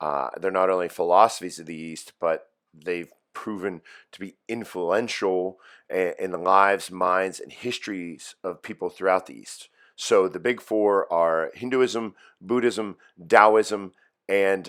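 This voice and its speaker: A man with a slight Pittsburgh accent speaks at a fairly slow pace in a very deep, low voice. His loudness swings widely on a very clean recording with a silent background. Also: ordinary pitch variation. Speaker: high school philosophy teacher. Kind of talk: recorded lecture for students. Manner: casual, with fillers and repetitions.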